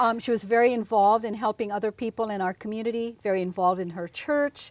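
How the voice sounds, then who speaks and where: A woman speaks at a very fast pace with fairly high pitch. Her intonation is fairly even, and the sound is dry and close with no echo. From Philippines. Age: 60s. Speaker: business executive. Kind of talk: interview.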